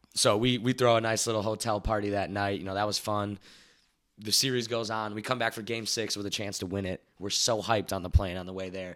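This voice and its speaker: Over a silent background in a very clean recording, the speaker goes at a fairly quick pace with flat, monotone intonation. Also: man, fairly low pitch for a man. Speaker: baseball insider who worked for a baseball team. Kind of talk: casual chat.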